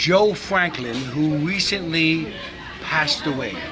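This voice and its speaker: Over crowd noise, a man with a New York accent talks very slowly in a fairly high voice. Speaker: interviewer.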